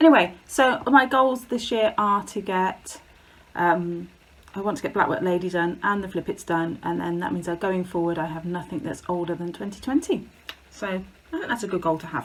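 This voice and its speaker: A woman with an English accent speaks at a moderate pace and medium pitch, with ordinary pitch variation. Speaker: craft video creator. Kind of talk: casual chat. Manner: halting.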